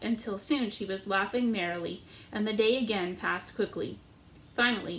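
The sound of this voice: The recording features an unforced reading voice with ordinary pitch variation.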